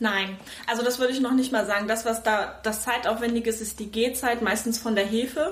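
Noticeable background noise and audible room echo surround a woman's fairly high voice. She talks at a fairly quick pace with fairly even intonation. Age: 30s. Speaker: mother of two. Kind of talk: casual interview. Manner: hesitant, many fillers.

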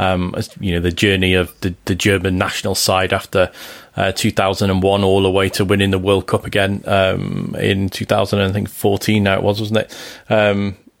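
Fairly low in pitch and in a Liverpool accent, a man speaks fairly slowly in a flat monotone, his loudness very even. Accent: Scouse. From Liverpool, England. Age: 40s. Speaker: football journalist. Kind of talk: casual chat. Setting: Skype call. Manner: clear.

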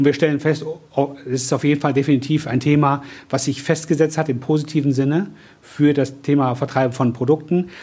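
A somewhat breathy man with a fairly high pitch and a dark, mellow tone speaks in a monotone, flat intonation at very even loudness. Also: fairly quick pace. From Cologne, Germany. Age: 50s. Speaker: franchise business owner, former corporate manager. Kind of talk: interview. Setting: coworking office.

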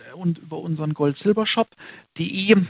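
Ordinary pitch variation and a fairly slow pace in an unremarkable speaking voice. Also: man. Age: 30s. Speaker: managing director of a fund and gold trading firm. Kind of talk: interview.

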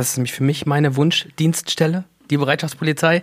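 A man with a fairly high pitch keeps his intonation fairly even while talking at a moderate pace. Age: 30s. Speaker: riot police officer. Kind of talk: casual panel chat. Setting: studio.

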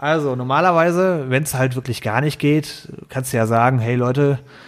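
At a moderate pace, a man speaks in a plain, everyday voice. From Ruhr area, Germany. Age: 30s. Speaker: IT consultant. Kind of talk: casual chat.

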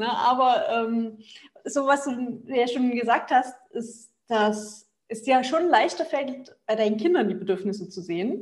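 This woman speaks at a fairly slow pace. Her pitch is high, with ordinary pitch variation. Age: 30s. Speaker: family coach and nonviolent communication trainer. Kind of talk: casual interview.

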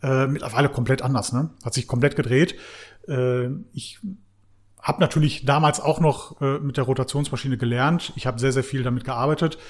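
Recorded very cleanly against a silent background, a man talks at a moderate pace in a medium-pitched, somewhat breathy voice with fairly even intonation. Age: 30s. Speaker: car detailing business owner. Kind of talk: casual chat. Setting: recorded standing at guest's premises.

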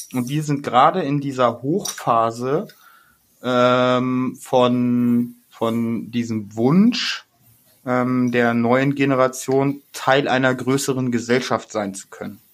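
This man's voice sits at a medium pitch, with fairly even intonation. He speaks very slowly. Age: 40s. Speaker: podcast co-host. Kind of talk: casual chat.

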